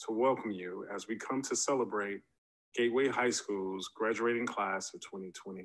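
A man at a moderate pace with fairly even intonation over a quiet background. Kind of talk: formal ceremonial speech. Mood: earnest, solemn. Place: home room. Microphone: webcam.

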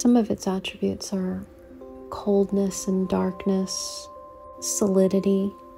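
Background music accompanies a woman who talks at a fairly slow pace. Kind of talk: podcast monologue to camera, reflective spiritual talk.

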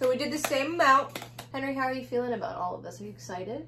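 A woman's high pitch and bright, sharp tone at a fast pace, with lively intonation and faint background noise

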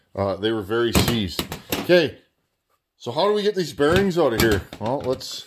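A man speaks at medium pitch and a moderate pace. His pitch swings widely.

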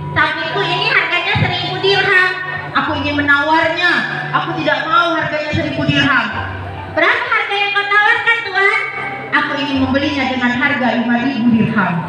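A woman speaks in a raised, projected voice at a fairly quick pace. Clear music plays in the background, and the room echo is strong. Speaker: religious storyteller. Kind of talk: storytelling sermon. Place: hall.

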